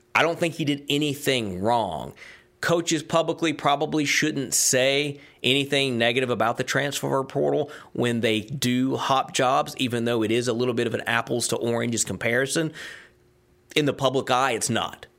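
On a very clean recording with a silent background, a man with a Southern US accent speaks at a medium pitch and moderate pace, with vocal fry and ordinary pitch variation. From US South (Georgia, Tennessee). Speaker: sports podcast host, former sports radio host. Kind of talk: solo podcast monologue. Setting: studio.

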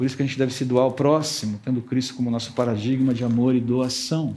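A man speaks at a fairly quick pace with a dark, mellow tone. His voice is somewhat breathy, and the room echo is audible. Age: 50s. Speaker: pastor. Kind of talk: sermon.

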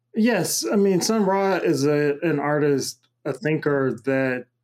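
A plain, everyday voice with an American accent on a very clean recording with a silent background. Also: man. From US South, Macon, Georgia. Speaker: cosmologist and multimedia artist. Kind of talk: interview conversation.

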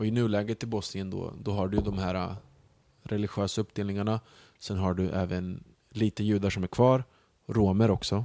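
A man's fairly low, dark and mellow voice in a flat monotone at a moderate pace, on a very clean recording with a silent background. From Sweden, Bosnian parents. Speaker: comedian. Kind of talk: casual chat.

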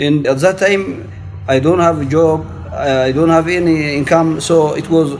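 A man with an Eritrean accent, fairly high pitch and ordinary pitch variation, at a fairly slow pace over noticeable background noise. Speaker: refugee resident. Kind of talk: interview testimony. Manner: halting.

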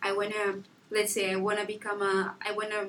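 There is noticeable background noise as a woman speaks at a medium pitch. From southern Angola. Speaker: college student. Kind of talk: casual interview.

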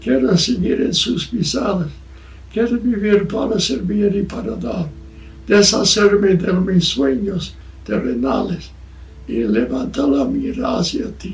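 A man's high-pitched voice at a very slow pace, with very wide pitch swings, audible room echo and noticeable background noise. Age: 90s. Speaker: missionary preacher. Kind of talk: sermon. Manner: halting.

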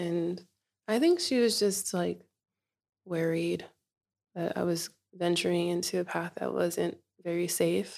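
Speaking with an American accent, a woman keeps a fairly slow pace. She leaves long, frequent pauses. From US West Coast, Inglewood, California, Nigerian parents. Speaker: storyteller. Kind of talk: personal testimony.

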